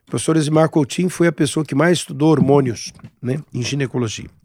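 A man has a plain, everyday voice, fairly high in pitch with ordinary pitch variation. The recording is very clean, with a silent background. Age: 60s. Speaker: gynecologist. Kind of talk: casual interview.

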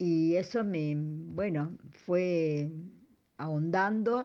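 Very slowly, a woman speaks with a dark, mellow tone. Her pitch is very deep and low, with ordinary variation. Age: 70s. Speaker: herbal therapist. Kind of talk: recorded interview answers.

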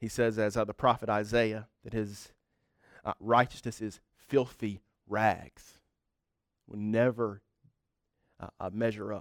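With an American accent, the speaker talks at a fairly slow pace in a monotone, flat intonation, with long, frequent pauses, big swings in loudness, and a dry, close sound with no echo. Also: man, fairly low pitch for a man. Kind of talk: sermon. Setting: church evening service. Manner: halting, many filler words.

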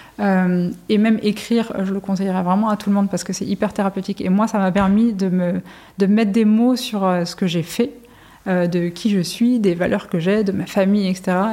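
At a moderate pace, a woman speaks in a dark, mellow tone at medium pitch with monotone, flat intonation. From Brittany, France. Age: 40s. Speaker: music manager. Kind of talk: interview.

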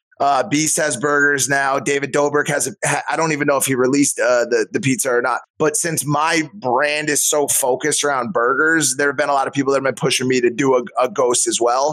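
With an ordinary speaking voice, a man with fairly high pitch talks with hardly any pauses, very even loudness and fairly even intonation. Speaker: author. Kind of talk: casual chat.

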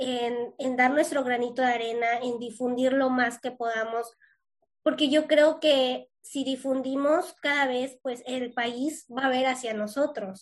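Speaking very slowly, a woman with a high pitch keeps her intonation fairly even. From Yucatán, Mexico. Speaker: podcast host, cystic fibrosis patient. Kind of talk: interview.

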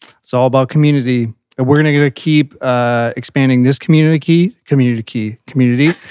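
A man with a normal speaking voice talks at a fairly quick pace and medium pitch, with fairly even intonation and hardly any pauses, in a dry, close sound with no echo. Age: 30s. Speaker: podcast host. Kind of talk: casual chat.

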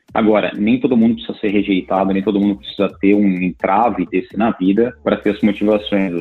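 With hardly any pauses, a man speaks in a fairly low pitch and monotone, flat intonation. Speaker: tech executive and university lecturer. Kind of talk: interview. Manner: halting, many filler repeats.

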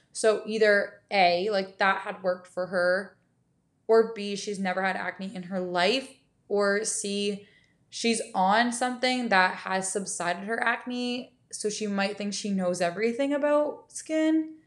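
Using ordinary pitch variation, a woman speaks at a fairly slow pace. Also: medium pitch for a woman. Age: 20s. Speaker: podcast host and holistic nutritionist. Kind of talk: casual solo chat. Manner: casual, filler-heavy speech.

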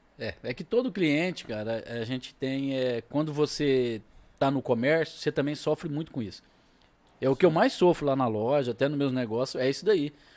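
Delivered in a normal speaking voice, the speech moves at a moderate pace with ordinary pitch variation. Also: man, fairly high pitch for a man. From Brazil, Minas Gerais (Triângulo Mineiro). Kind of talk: casual chat.

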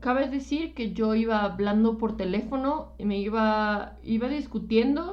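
A woman's fairly high voice at a very slow pace, ordinary pitch variation and audible room echo. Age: 20s. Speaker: podcast co-host. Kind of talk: casual chat. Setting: live stream.

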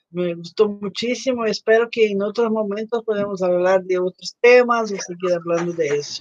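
At a moderate pace, a woman speaks in a medium pitch with hardly any pauses. Her pitch varies in an ordinary way, in a dry, close sound with no echo. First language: Portuguese (speaking Spanish). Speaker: podcast host. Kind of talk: interview hosting. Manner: mixes Portuguese and Spanish.

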